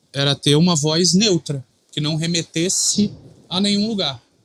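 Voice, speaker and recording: A man is talking. His pace is fairly slow. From Rio de Janeiro, Brazil. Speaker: sports reporter and TV presenter. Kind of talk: podcast interview. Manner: relaxed, conversational.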